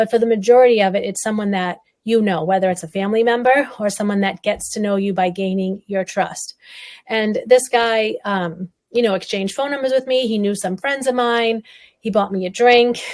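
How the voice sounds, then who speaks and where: Fairly quick and fairly even in intonation, a woman speaks with a fairly high pitch in a New England accent. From Massachusetts, North Shore. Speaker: survivor advocate and speaker. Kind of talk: interview testimony.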